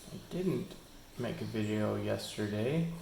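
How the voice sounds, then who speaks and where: A man mumbles at a fairly slow pace and fairly low pitch, with audible room echo and light background noise. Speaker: hobbyist vlogger. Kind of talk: casual screen-recording vlog. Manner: mumbling; hesitant with many fillers. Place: home room. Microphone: phone near.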